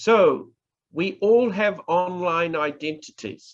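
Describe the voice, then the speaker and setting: A man with a New Zealand accent talks against a quiet background. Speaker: professor, public speaking trainer. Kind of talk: online workshop lecture. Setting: online presentation.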